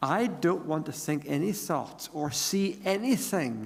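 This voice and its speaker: With audible room echo, a man speaks in an Irish accent, using lively intonation and vocal fry. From Ireland. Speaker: pastor. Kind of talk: sermon.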